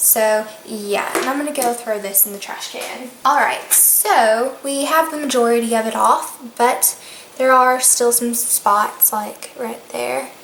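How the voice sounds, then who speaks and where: Over noticeable background noise and audible room echo, a woman with a Southern US accent speaks at a high pitch with ordinary pitch variation, moving at a fairly slow pace with hardly any pauses. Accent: US South. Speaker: beauty vlogger. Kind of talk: tutorial.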